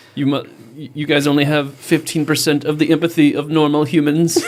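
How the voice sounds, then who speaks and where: Using a put-on character voice, a man sounds robotic with monotone, flat intonation. He talks at a fairly quick pace with a fairly high pitch over light background noise. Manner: monotone, mechanical.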